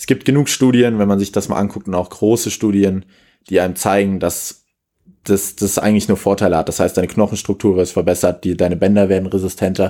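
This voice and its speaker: In a very clean recording with a silent background, a man with a dark, mellow tone and fairly low pitch speaks at a fairly quick pace with fairly even intonation. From Germany, Kassel (Hesse). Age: 20s. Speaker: athletic coach for youth handball. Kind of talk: casual podcast interview.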